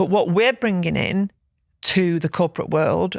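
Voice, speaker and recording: At a moderate pace, the speech comes through in a very clean recording with a silent background. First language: German. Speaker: podcast co-host, business and leadership coach. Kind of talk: casual chat. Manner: animated.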